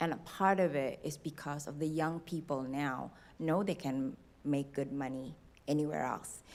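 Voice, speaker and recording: A woman's voice sits at a very deep, low pitch. She keeps a moderate pace and fairly even intonation. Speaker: city finance director. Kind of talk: public meeting discussion. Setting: city board meeting room.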